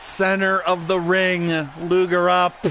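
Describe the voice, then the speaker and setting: Over noticeable background noise, a man speaks loudly at a very slow pace with a high pitch. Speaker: wrestling podcast host and commentator. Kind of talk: live commentary of simulated wrestling. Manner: animated.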